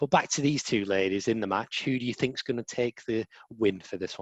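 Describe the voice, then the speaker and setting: A man speaks with an English accent. His fairly low voice moves at a fairly quick pace. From England. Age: 20s. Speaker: podcast co-host. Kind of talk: casual chat.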